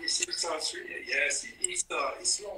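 A man speaks in a French accent. Light background noise and audible room echo are present. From France. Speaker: painter. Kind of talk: casual chat. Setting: video call. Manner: halting. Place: workshop. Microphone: phone near.

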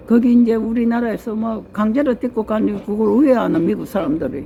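There is noticeable background noise as a woman talks at a fairly quick pace. Her pitch is fairly high, with ordinary variation. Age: 90s. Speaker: elderly mother recounting history. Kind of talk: casual interview. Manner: halting.

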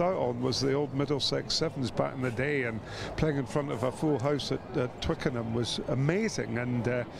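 Noticeable background noise sits behind a man speaking with a Scottish accent at a fairly quick pace. His medium pitch shows ordinary variation, and his loudness stays very even. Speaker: former rugby player. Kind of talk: interview. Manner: hesitant, many fillers.

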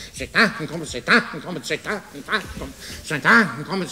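Putting on a character voice, a man speaks in an excited tone at a fairly high pitch and fairly quick pace against clear background noise. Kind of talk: comic animal imitation. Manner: excited, quacking, repetitive.

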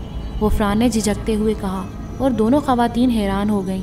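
In a natural voice, a passage is read aloud.

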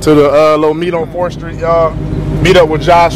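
A man races along at a very fast pace despite noticeable noise in the background. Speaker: car vlogger. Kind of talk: casual vlog chat. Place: street. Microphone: phone near.

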